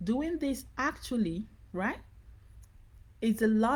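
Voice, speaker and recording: At a moderate pace, a woman with a fairly high pitch talks in a dark, mellow tone. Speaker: business coach. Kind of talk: live online training. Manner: casual, repetitive.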